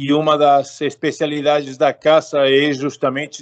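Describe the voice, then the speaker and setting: In an Argentine accent, a man speaks at a moderate pace with a fairly high pitch and monotone, flat intonation. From Argentina. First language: Spanish (speaking Portuguese). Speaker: political consultant, political scientist. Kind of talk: interview. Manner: halting, with self-corrections and fillers.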